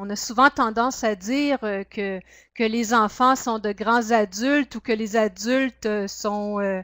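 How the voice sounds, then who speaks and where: A woman speaks in a fairly high pitch at a fairly slow pace. Her pitch varies normally in a dry, close sound with no echo. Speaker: project officer and workshop trainer. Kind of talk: webinar training presentation. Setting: webinar. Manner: hesitant, many fillers.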